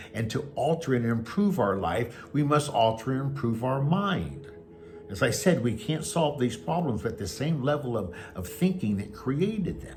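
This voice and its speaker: Over music in the background, a man at medium pitch talks at a moderate pace with very wide pitch swings. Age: 70s. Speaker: pastor and life coach. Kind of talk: motivational talk; personal testimony. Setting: at home.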